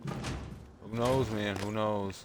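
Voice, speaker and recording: A man's fairly low voice at a very slow pace, with noticeable background noise and audible room echo. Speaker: gaming streamer. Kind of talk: let's play commentary. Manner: monotone.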